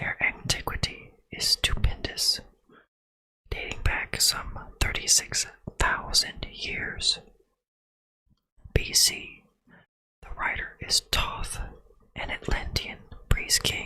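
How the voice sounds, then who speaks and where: A man whispers at a very slow pace. His words are broken by long, frequent pauses. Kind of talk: ASMR whisper reading. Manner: whispered.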